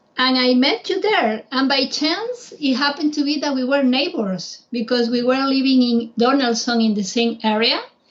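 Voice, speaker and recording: In a Spanish accent, a woman with a high voice talks at a moderate pace with hardly any pauses, very even loudness, and lively intonation. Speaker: travel guide. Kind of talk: casual chat.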